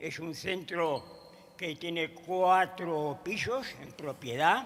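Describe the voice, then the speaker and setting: This is a man's voice. His pitch is high. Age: 90s. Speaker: president of an emigrant community centre. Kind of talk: congress panel remarks. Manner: halting.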